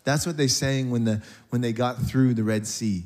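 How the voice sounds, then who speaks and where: Using a plain, everyday voice, a man talks in a mid-range register, his pitch moving up and down as it normally would. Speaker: pastor. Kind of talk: sermon. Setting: church.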